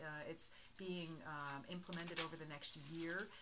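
A woman with a very deep, low pitch speaks with fairly even intonation against noticeable background noise. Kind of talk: interview answer. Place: meeting room.

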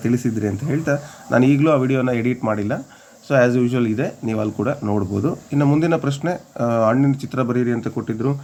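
Here is a man with an unremarkable speaking voice. His pitch is medium, with ordinary pitch variation. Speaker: teacher running an education channel. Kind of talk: tutorial.

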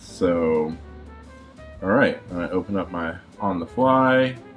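Faint music plays in the background as a man talks in a fairly low pitch with ordinary pitch variation. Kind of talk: tutorial. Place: home room. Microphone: webcam.

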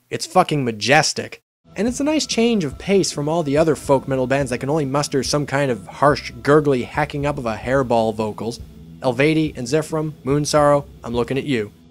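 A man speaks in an energetic tone at a fairly high pitch, with faint music in the background. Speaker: music reviewer. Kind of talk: comedic review narration. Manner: energetic, irreverent.

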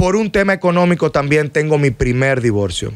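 Pitch swinging very widely in a man's speech, with a quiet background. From Dominican Republic. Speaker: lawyer; podcast guest. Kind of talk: interview. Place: studio. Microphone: studio mic.

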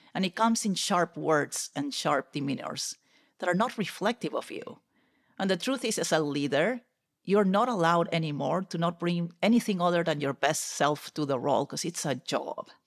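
With a Peruvian accent, a woman speaks at a moderate pace in a fairly low voice. Her intonation is lively, and the background is quiet. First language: Spanish. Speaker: corporate technology executive; podcast guest. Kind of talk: interview conversation. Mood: candid, reflective. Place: home room. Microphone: studio mic.

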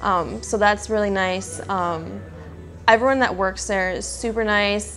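With faint music in the background, a woman with an Upper Midwest accent speaks at a moderate pace. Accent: Upper Midwest American. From Wisconsin. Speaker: athletic trainer. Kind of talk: interview answer. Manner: casual, hesitant with filler words. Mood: friendly, relaxed. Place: office. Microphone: lapel.

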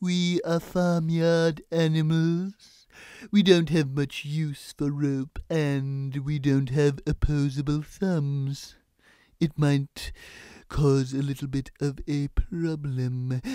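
A man's put-on character voice, fairly high in pitch and very slow, on a very clean recording with a silent background. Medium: voice reel. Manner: dry, sarcastic.

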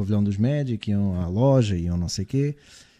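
In a quiet setting, a man with a dark, mellow tone talks at a moderate speed. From Portugal. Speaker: basketball podcast host. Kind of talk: casual chat. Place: studio. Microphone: studio mic.

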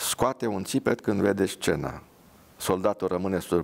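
The passage is read aloud plainly. Its intonation is fairly even.

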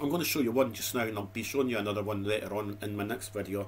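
Over light background noise, a man with a Dundee accent speaks at a fairly low pitch with fairly even intonation. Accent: Scottish (Dundee). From Scotland. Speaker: YouTube food reviewer. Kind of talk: casual vlog monologue. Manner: rambling, chatty. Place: home room. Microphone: webcam.

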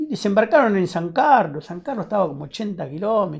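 Here a man speaks at a moderate pace with lively intonation. The background is quiet. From Buenos Aires, Argentina (Lomas de Zamora, Temperley); Buenos Aires, Argentina. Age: 60s. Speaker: war veteran. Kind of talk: testimony. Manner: halting. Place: studio.

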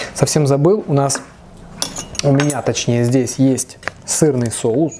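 A man speaks at a fairly slow pace with ordinary pitch variation. There is light background noise. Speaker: food vlogger. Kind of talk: casual vlog chat while eating. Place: kitchen. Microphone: camera far.

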